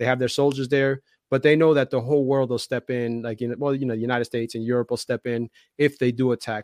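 Speaking very fast with an American accent, a man holds a medium pitch and fairly even intonation. The sound is dry and close, with no echo. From New Jersey, Union City. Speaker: investor and YouTuber. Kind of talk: casual chat. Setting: live stream video call.

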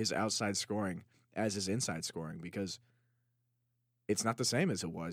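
On a very clean recording with a silent background, a man with a fairly low pitch speaks at a moderate pace with ordinary pitch variation. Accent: American. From Chicago. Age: 20s. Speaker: sports podcast co-host. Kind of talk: casual chat.

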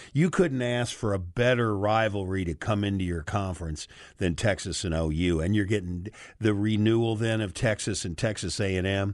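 A normal speaking voice from a man, fairly low in pitch, at a moderate pace over a quiet background. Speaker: sports radio co-host. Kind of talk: casual sports talk radio. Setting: radio studio.

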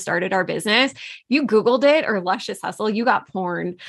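In a quiet background, a woman with a normal speaking voice talks at a fairly quick pace, her medium pitch showing ordinary pitch variation. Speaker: coach and business co-founder. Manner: casual, conversational with fillers.

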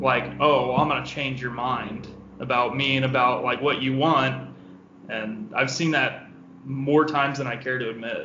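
A man speaks at a moderate pace with medium pitch and fairly even intonation. Audible room echo surrounds his voice. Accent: American. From Southeast Missouri. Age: 20s. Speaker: office worker, dating guest. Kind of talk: casual chat.

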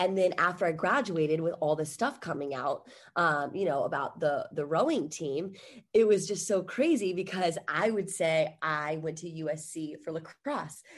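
With an American accent, a woman speaks in an animated tone at a moderate pace. Her pitch is fairly low, with ordinary variation. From Virginia, US. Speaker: fitness host and former college athlete. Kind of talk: casual interview chat.

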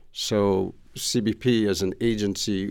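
Speaking in a New York accent, a man uses a fairly low pitch and monotone, flat intonation on a very clean recording with a silent background. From New York, Queens. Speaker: former customs official and trade consultant. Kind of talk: interview.

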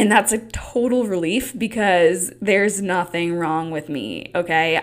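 Her tone animated, a woman speaks at a fairly low pitch with ordinary pitch variation. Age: 20s. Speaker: podcast host. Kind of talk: solo podcast monologue. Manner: casual, animated.

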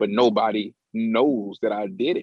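This is a man speaking at a medium pitch. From Indiana, US Midwest. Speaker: rapper. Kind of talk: casual interview chat.

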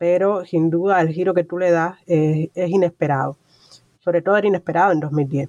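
A woman has a plain, everyday voice at a fairly low pitch. Her intonation is fairly even, and the sound is dry and close with no echo. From Cuba. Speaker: podcast host. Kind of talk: interview.

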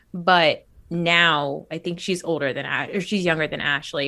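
In a very clean recording with a silent background, a woman speaks with a bright, sharp tone and an American accent. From New Jersey. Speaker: podcast host. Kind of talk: casual chat. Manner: animated.

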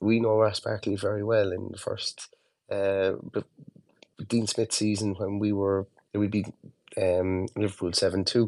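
A man with an Irish accent, fairly low in pitch, flat and monotone, at a moderate pace with long, frequent pauses. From Ireland. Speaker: football fan podcaster. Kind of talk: casual chat. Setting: online audio call.

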